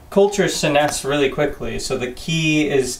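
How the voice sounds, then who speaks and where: A man at a moderate pace. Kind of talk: tutorial. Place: home room. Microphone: phone near.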